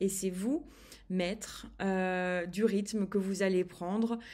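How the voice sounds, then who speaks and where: Very slow pace and monotone, flat intonation. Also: woman. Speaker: eating behaviour coach. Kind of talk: online course video. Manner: slow, soft-spoken; halting, many hesitations.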